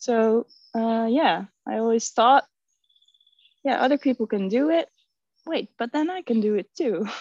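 A woman with a Dutch accent and a fairly high pitch, lively intonation, a fairly slow pace and long, frequent pauses, in a dry, close sound with no echo. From Netherlands. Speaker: resin artist. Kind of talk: casual chat.

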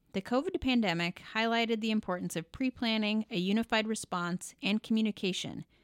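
A woman with an American accent, fairly high in pitch, at a fairly quick pace with ordinary pitch variation, in a dry, close sound with no echo and a very clean recording with a silent background. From Oregon, US Pacific Northwest. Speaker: emergency physician and podcast host. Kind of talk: scripted narration.

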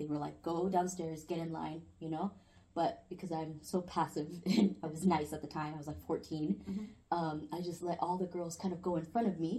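This woman has a fairly low, somewhat breathy voice with a dark, mellow tone. She keeps a moderate pace with ordinary pitch variation and hardly any pauses. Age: young. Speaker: podcast guest. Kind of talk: casual chat. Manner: giggly.

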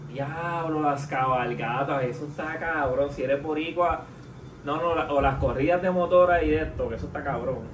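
The speaker has a Puerto Rican accent and fairly even intonation. Audible room echo and noticeable background noise surround the voice. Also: man, fairly high pitch for a man, moderate pace. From Puerto Rico. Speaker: podcast host. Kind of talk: casual chat.

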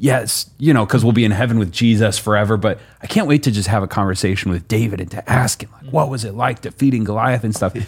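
A man races along at a very fast pace with hardly any pauses, his voice somewhat breathy, his loudness swinging widely and his pitch varying in an ordinary way. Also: medium pitch for a man. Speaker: pastor. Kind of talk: casual podcast discussion about Bible study.

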